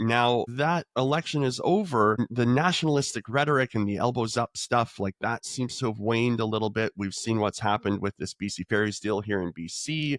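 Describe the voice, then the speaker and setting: A man with a Canadian accent and an unremarkable speaking voice, medium in pitch with ordinary pitch variation, at a fairly quick pace with hardly any pauses, in a dry, close sound with no echo. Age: 40s. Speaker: podcast host. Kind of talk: interview.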